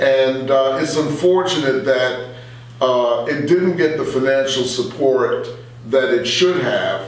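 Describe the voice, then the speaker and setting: Over noticeable background noise, a man with a fairly high voice speaks at a very slow pace, his pitch varying in an ordinary way. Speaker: former radio station director and radio host. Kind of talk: interview answer.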